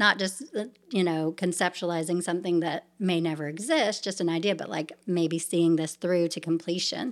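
In an American accent, a woman with an ordinary speaking voice and fairly low pitch talks at a moderate pace. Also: fairly even intonation. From US South, Savannah, Georgia. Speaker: nonprofit founder and children's author. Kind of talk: interview conversation.

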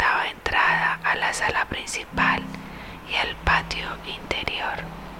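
The speech is whispered very slowly. Background noise is noticeable. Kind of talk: audiobook reading aloud of a 19th-century novel. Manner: soft, hushed whisper-style narration; steady, measured, formal literary delivery.

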